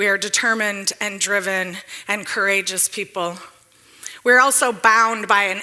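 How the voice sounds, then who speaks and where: A woman with an American accent and a medium pitch speaks at a fairly slow pace against noticeable background noise. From Detroit, US Midwest. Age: 40s. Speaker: economic developer, speaker. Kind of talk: public talk.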